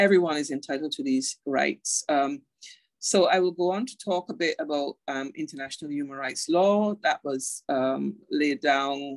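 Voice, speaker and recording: A woman at a moderate pace with a Barbadian accent, in a dry, close recording with no echo. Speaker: internet governance and human rights advocate. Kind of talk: online lecture.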